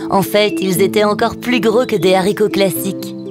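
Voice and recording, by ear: Clear music plays in the background as a woman speaks with fairly even intonation. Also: medium pitch for a woman, moderate pace.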